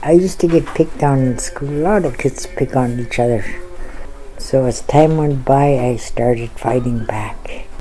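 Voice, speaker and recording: A woman's very deep, low voice in a Canadian Arctic accent, at a fairly slow pace with ordinary pitch variation, noticeable background noise and audible room echo. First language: Inuktut. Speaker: residential school survivor. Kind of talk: testimony.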